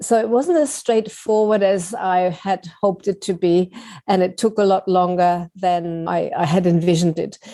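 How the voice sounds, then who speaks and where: In a German accent, a woman speaks at a moderate pace with a dark, mellow tone, medium pitch, ordinary pitch variation and very even loudness against a quiet background. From Germany. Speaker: writing teacher and author. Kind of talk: interview.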